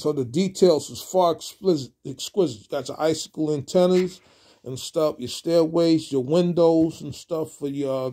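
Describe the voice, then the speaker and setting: A man speaks at a moderate pace in a dark, mellow tone with ordinary pitch variation over a quiet background. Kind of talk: casual product review. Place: home room. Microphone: phone near.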